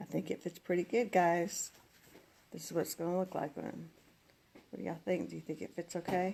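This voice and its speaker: The voice is soft-spoken and fairly quick, with vocal fry. Long, frequent pauses break up its fairly even intonation. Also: woman, fairly low pitch for a woman. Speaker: craft tutorial host. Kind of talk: live crafting tutorial.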